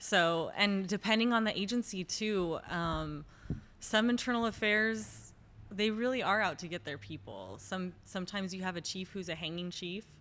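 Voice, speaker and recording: Here is an ordinary speaking voice: a woman with an American accent, medium in pitch with ordinary variation, at a moderate pace. The recording is very clean, with a silent background. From Los Angeles. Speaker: police defense attorney. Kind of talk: interview podcast.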